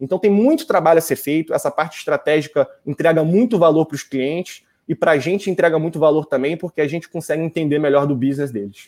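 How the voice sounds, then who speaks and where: In a very clean recording with a silent background and a dry, close sound with no echo, a man with a fairly high pitch talks at a very fast pace with hardly any pauses and ordinary pitch variation. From Brazil, Rio de Janeiro. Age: 20s. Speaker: voice technology agency executive. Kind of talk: interview.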